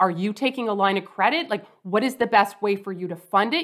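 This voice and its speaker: In a Canadian accent, a woman speaks at a moderate pace and a fairly high pitch. Hers is an unremarkable speaking voice. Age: 40s. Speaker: personal finance educator and author. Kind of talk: interview.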